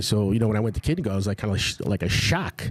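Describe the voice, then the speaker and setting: In a New York accent, a man speaks very fast in a fairly low pitch. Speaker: restaurant owner. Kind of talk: casual chat.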